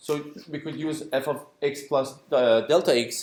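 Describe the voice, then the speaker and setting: Fairly even intonation in a man's fairly high voice. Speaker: university lecturer. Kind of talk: lecture. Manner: halting.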